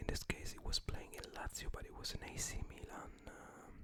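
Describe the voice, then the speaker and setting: Whispering at a fairly slow pace. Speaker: ASMR content creator. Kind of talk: casual talk to camera. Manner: whispered, soft-spoken.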